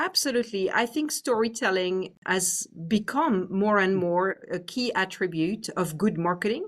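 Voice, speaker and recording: With a French accent, a woman talks at a fairly slow pace with lively intonation and hardly any pauses on a very clean recording with a silent background. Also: medium pitch for a woman. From France. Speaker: business executive. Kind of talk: interview.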